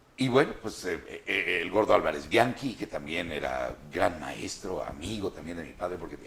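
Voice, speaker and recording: A man talking at a fairly quick pace. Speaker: voice actor. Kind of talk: interview answer.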